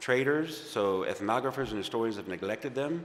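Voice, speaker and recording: The man speaks with a medium pitch. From US South, Baton Rouge, Louisiana. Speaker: archaeologist and tour guide. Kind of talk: talk at a Sunday service. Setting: fellowship service streamed on Zoom. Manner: halting, with false starts.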